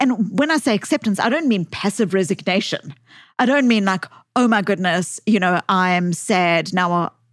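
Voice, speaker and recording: A woman speaks with a South African accent at a medium pitch with ordinary variation. The recording is very clean, with a silent background. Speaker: psychologist and author. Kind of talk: podcast interview. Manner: halting, many false starts.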